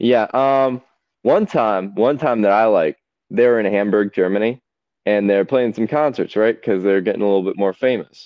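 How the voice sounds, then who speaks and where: An unremarkable speaking voice belongs to a man who keeps very even loudness and ordinary pitch variation. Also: medium pitch for a man, moderate pace. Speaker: co-host. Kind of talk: casual banter. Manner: joking, teasing.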